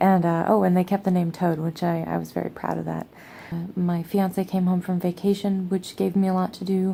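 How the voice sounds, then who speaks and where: A woman speaks quietly at a fairly quick pace, her fairly low pitch flat and monotone, with a dark, mellow tone. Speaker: pagan vlogger. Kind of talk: casual vlog monologue. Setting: at home, sitting on the floor. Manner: quiet, low voice; hesitant, many fillers.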